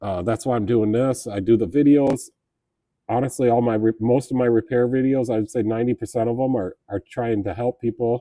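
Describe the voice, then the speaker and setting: A man talks at a fairly quick pace in a medium pitch. His tone is dark and mellow, with fairly even intonation. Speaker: auto repair shop owner streaming live. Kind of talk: casual live stream chat. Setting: live stream from the shop. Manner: halting, repeats words.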